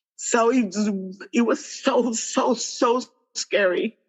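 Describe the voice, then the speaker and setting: A woman talks in a Spanish accent with lively intonation. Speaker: bulimia survivor and entrepreneur. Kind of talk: testimony. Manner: halting.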